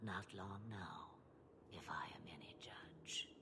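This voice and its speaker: Someone whispers in a put-on character voice over loud background noise. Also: fairly slow pace. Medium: video game.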